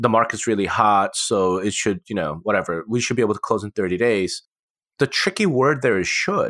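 A man's fairly low, fairly quick voice with ordinary pitch variation, an unremarkable speaking voice, dry and close with no echo on a very clean recording with a silent background. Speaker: podcast co-host.

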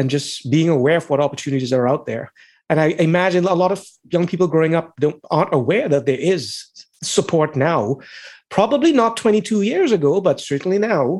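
A man talks at a fairly quick pace with lively intonation and fairly high pitch, against a quiet background. It is an ordinary speaking voice. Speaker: podcast host. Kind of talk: interview, podcast host.

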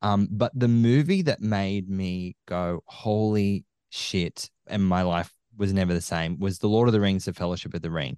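A man with an Australian accent speaks at a moderate pace in a fairly low pitch with ordinary pitch variation and a dark, mellow tone, recorded dry and close with no echo against a quiet background. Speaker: film podcaster. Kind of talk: casual chat. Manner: animated.

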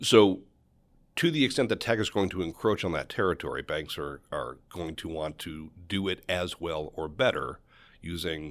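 A man with a very deep, low voice and vocal fry speaks at a moderate pace with lively intonation, captured on a very clean recording with a silent background. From Western New York, near Buffalo. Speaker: finance professor. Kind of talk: casual interview.

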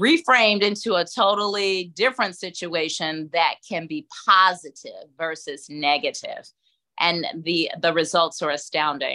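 Speaking in a Southern US accent, a woman has a bright, sharp tone and a fairly slow pace. The recording is very clean, with a silent background. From US South, Atlanta, Georgia. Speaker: caregiver and life coach. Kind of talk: interview conversation.

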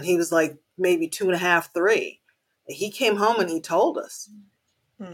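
Speaking at a moderate pace, a woman has an ordinary speaking voice, a fairly low pitch and ordinary pitch variation. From Haiti, raised in the United States. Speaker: mother, community volunteer. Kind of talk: casual chat.

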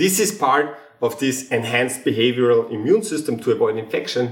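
A man talks at a medium pitch and moderate pace. His voice is somewhat breathy, with lively intonation. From Austria. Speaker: geneticist and comedian. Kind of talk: casual interview chat.

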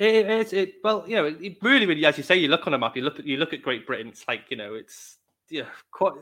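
A man with a Welsh accent, high-pitched, talking very fast, with very wide pitch swings and big jumps in loudness. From Wales. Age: 30s. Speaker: podcast host. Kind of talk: interview. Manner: halting.

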